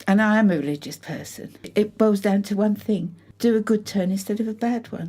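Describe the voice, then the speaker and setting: A woman with a British accent speaks at a moderate pace, somewhat breathy, with fairly even intonation. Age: 70s. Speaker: mature fashion student. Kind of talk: documentary interview. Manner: halting.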